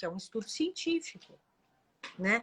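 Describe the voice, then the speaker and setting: Her tone bright and sharp, a woman's voice moves in very wide pitch swings. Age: 60s. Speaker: doctor. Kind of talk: live stream interview.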